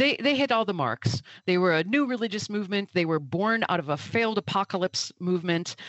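A woman with an Upper Midwest accent speaks at a fairly quick pace with hardly any pauses, her medium pitch swinging very widely. Her loudness stays very even throughout. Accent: Upper Midwest American. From Milwaukee, Wisconsin. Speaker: author and food scientist. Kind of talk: interview conversation.

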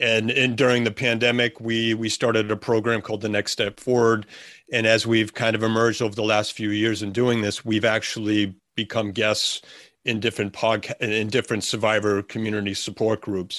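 Flat and monotone, a man speaks at a fairly quick pace. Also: medium pitch for a man. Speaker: podcast co-host. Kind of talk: casual podcast conversation.

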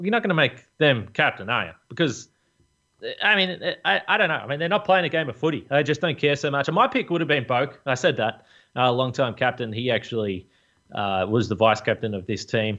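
Pitch swinging very widely, a man with an Australian accent talks at a fairly quick pace in a fairly high voice. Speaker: AFL podcast host. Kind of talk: casual sports discussion.

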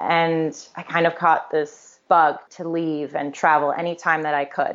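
A woman's very deep, low voice in an American accent, at a moderate pace. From Connecticut, US. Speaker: podcast guest sharing life story. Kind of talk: interview, personal testimony.

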